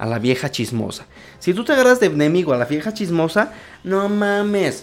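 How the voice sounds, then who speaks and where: Speaking with a Mexican accent, a man uses an animated tone and lively intonation at a moderate pace. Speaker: podcast host. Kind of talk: casual monologue.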